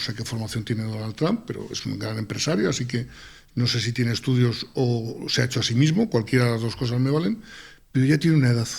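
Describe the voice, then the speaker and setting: A man with an unremarkable speaking voice at a fairly quick pace. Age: 60s. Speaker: university professor. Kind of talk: panel discussion.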